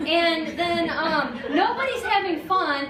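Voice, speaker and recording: A woman's raised, projected voice rings out at an extremely high pitch with lively intonation. Audible room echo and noticeable background noise surround her. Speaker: life coach. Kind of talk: talk to an audience. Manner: fast; animated.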